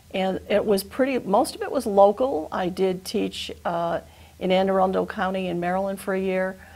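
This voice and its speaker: A woman talks with an American accent and ordinary pitch variation. Noticeable background noise is present. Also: medium pitch for a woman, moderate pace. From western Massachusetts (Chicopee). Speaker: retired teacher, program volunteer. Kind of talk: TV interview.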